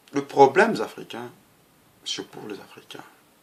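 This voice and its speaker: Noticeable noise sits in the background. Over it, a man talks at a moderate pace. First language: Lingala (speaking French). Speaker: political activist. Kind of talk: political monologue. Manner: halting.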